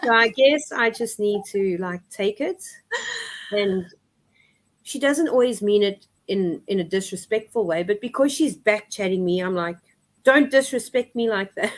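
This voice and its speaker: A woman speaks at a moderate pace and a fairly high pitch, with ordinary pitch variation. She leaves long, frequent pauses. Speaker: single mother guest. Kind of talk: casual chat. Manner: loud and outgoing.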